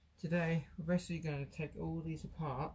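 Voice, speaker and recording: The voice is quiet. It moves at a moderate pace. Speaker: electronics hobbyist video maker. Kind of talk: tutorial. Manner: casual.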